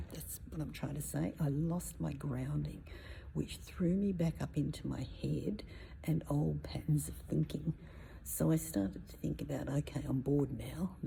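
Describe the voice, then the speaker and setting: A soft-spoken woman whispering, with audible room echo. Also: moderate pace. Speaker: spiritual personal development coach. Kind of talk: casual vlog talk. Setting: inside a cathedral. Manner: whispering, soft-spoken.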